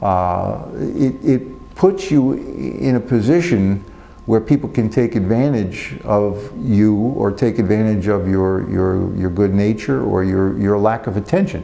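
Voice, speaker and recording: Noticeable background noise sits under a man's fairly low voice. He speaks at a fairly slow pace with hardly any pauses and lively intonation. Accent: American. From New Jersey. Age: 60s. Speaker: prisoner, former funeral director. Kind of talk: interview answer. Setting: prison. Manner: hesitant, reflective.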